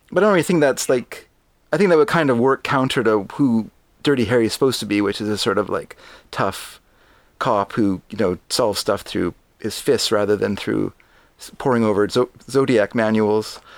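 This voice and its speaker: A man with a Canadian accent speaks in an ordinary speaking voice at medium pitch, with ordinary pitch variation and a moderate pace. The recording is very clean, with a silent background. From Canada. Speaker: podcast guest, film commentator. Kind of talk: casual chat, film review.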